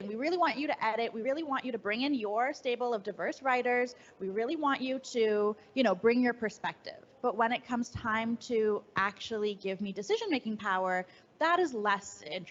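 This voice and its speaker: Her pitch fairly high and its variation ordinary, a woman talks at a fairly quick pace. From Canada. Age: 30s. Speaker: writer and editor. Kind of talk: fireside chat interview. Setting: live event with audience.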